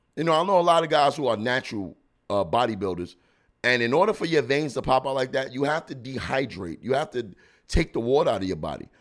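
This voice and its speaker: Speaking very fast in a New York accent, a man with a medium pitch, vocal fry and very wide pitch swings sounds animated on a very clean recording with a silent background. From Brooklyn, New York. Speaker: comedian podcast host. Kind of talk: casual commentary.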